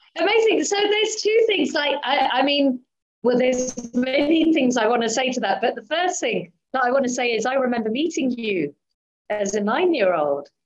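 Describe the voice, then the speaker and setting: With music in the background, a woman talks at a moderate pace in a high voice that swings very widely in pitch. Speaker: interviewer. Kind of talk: interview.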